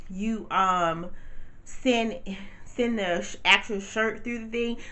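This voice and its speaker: In a room with audible echo, a woman speaks in an animated tone at a fairly high pitch. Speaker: t-shirt business owner and vlogger. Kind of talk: casual vlog tutorial. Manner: fast.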